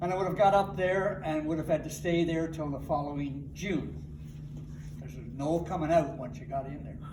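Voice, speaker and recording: A man with a Newfoundland accent speaks at a moderate pace in a fairly high pitch, his intonation fairly even but his loudness swinging widely. Noticeable background noise and audible room echo are present. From Newfoundland, Glovertown. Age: 70s. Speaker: wood turner. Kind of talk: casual interview. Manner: hesitant, with fillers.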